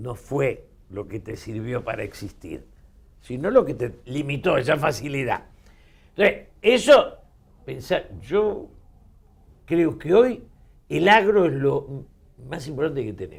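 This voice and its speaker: A man talks at a fairly slow pace in a Rioplatense accent. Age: 70s. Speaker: politician and political commentator. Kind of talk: interview.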